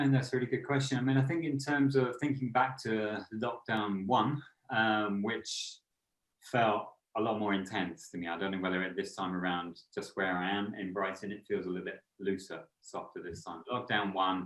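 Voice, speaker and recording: With a normal speaking voice, a man talks at a moderate pace and a fairly low pitch with ordinary pitch variation. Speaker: author and meditation teacher. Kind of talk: podcast interview.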